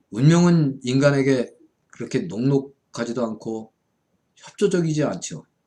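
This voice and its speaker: With an unremarkable speaking voice, a man speaks at a fairly high pitch and fairly slow pace, his intonation lively. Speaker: Buddhist monk and fortune-telling lecturer. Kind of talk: lecture.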